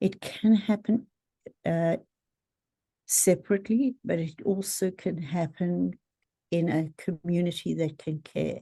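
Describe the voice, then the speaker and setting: A woman's fairly low, dark, mellow, somewhat breathy voice at a fairly slow pace, with ordinary pitch variation and long, frequent pauses. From South Africa. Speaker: therapist. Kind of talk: podcast interview.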